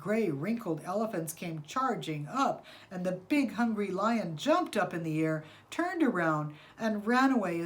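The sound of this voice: The speaker reads in an unforced voice, with intonation that stays lively.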